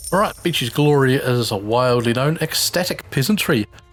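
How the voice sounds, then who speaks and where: Over background music, a man with a medium pitch talks using ordinary pitch variation. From New Zealand. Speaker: gaming video creator. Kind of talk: let's play commentary. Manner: casual, with filler words.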